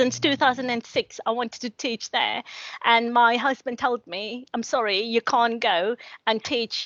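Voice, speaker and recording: A woman with a South African accent talks at a moderate pace in a high voice. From South Africa, Cape Town. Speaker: academic, social work lecturer. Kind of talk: panel discussion. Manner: halting, many repetitions.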